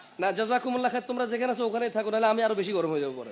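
Lively intonation from a man amid noticeable background noise. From Saudi Arabia. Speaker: Islamic preacher. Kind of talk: sermon.

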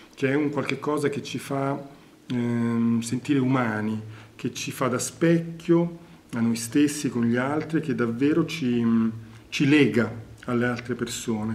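Speaking at a fairly slow pace, a man keeps his intonation fairly even. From Naples, Italy. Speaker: theatre director and actor. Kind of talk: interview answer. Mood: reflective, earnest.

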